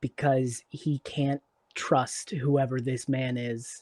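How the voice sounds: Quiet surroundings behind a natural reading voice.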